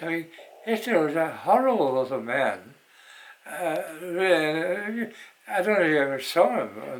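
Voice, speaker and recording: A man talks at a fairly slow pace in a high pitch, with lively intonation and long, frequent pauses. Noticeable background noise is present. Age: 80s+. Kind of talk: interview answer. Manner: hesitant.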